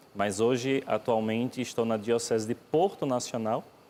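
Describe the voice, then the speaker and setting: A man speaks with a Pernambuco accent at a medium pitch. His pace is fairly slow and his intonation fairly even. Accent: Pernambuco (Northeast Brazilian). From Brazil, Pernambuco (Northeast). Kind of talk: TV interview.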